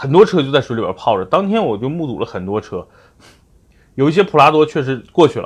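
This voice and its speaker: Speaking at a fairly quick pace, a man uses a fairly high pitch with very wide swings, big shifts in loudness and vocal fry. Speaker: car advice podcast host. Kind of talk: casual chat.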